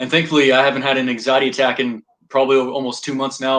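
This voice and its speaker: The man talks at a very fast pace. He has a medium pitch. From Texas, Dallas area. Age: 20s. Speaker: army veteran and YouTuber. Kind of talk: casual interview chat.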